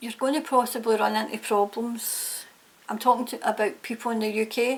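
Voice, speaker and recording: The speaker talks in a Scottish accent. The intonation stays fairly even. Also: woman. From Scotland. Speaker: tarot reader. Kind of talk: tarot reading to camera. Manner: casual, hesitant with fillers.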